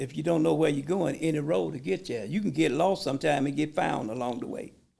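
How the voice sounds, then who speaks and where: With vocal fry, a man talks at a very fast pace and a fairly high pitch. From Atlanta, Georgia. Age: 70s. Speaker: business owner and war veteran. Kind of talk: casual chat.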